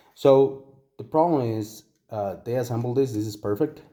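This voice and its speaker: A man with a Spanish accent, a medium pitch, ordinary pitch variation, a dark, mellow tone and a fairly slow pace. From Costa Rica. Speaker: toy collector reviewer. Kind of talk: product review tutorial. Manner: hesitant, many fillers and repetitions.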